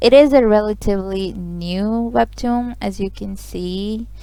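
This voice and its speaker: A woman with a non-native accent at a fairly slow pace. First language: not English. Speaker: webtoon reader and commentator. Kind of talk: reading aloud with commentary. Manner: casual, animated.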